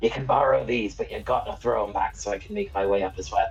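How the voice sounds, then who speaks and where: A put-on character voice whispers in a raspy tone at a very fast pace, with clear background noise. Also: man. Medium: actual play. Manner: whispering.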